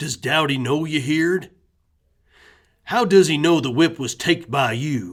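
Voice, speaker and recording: Putting on a character voice, a man speaks in a fairly high pitch with lively intonation and long, frequent pauses. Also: moderate pace, very clean recording, silent background. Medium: read story. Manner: blunt, folksy.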